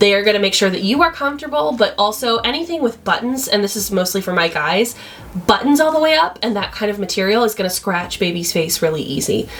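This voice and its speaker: Loud and very fast, a woman speaks at medium pitch with very wide pitch swings. Noticeable background noise runs underneath. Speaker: newborn photographer. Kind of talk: tutorial. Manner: casual and conversational.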